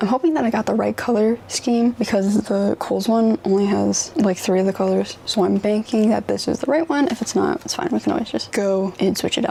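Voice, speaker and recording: A woman with a fairly high pitch and ordinary pitch variation talks at a fairly quick pace, with hardly any pauses and very even loudness. Noticeable background noise runs behind her. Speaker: lifestyle vlogger. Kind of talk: casual haul vlog. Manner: animated; whispering.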